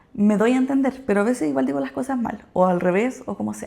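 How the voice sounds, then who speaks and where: Speaking at a moderate pace, a woman with a Chilean accent uses lively intonation. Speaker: nurse and vlogger. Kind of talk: casual vlog talk. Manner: casual, conversational.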